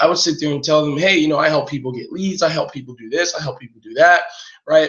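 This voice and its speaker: A man speaks at a fairly high pitch with a somewhat breathy voice. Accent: American. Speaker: online marketing coach. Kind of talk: live webinar training.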